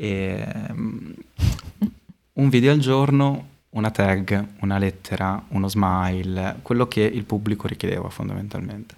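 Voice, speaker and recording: The speech has ordinary pitch variation and long, frequent pauses. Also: man, fairly low pitch for a man, fairly slow pace. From Modena, Emilia-Romagna, Italy. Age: 20s. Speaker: street artist and illustration teacher. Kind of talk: casual interview chat. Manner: hesitant, many fillers.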